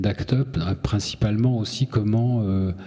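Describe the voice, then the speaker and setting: A somewhat breathy male voice, dark and mellow in tone, with fairly even intonation and a fairly slow pace. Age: 60s. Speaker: journalist and activist. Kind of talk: lecture.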